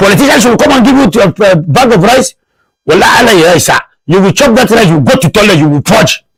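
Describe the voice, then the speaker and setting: A man talks at a fairly quick pace with a high pitch and an animated tone. His pitch swings very widely. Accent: northern Nigerian. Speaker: TV show host. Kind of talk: casual TV commentary.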